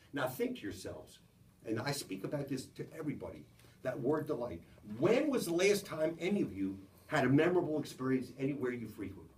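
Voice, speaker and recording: A man with an American accent speaks at a fairly quick pace in a fairly high voice with vocal fry and very wide pitch swings. He takes long, frequent pauses, and the room echo is audible. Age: 70s. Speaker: business executive giving a talk. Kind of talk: motivational business talk to a small audience.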